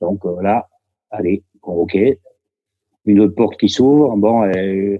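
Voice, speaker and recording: This man talks at a very slow pace with long, frequent pauses. His pitch is fairly low and his intonation fairly even. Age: 70s. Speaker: retired footballer. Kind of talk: interview.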